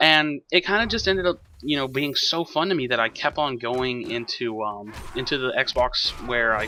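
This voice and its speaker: With music in the background, a man with an American accent talks at a medium pitch with ordinary pitch variation. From Texas, Houston area. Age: 20s. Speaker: gaming YouTuber. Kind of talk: gameplay commentary, personal intro. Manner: casual, hesitant with fillers.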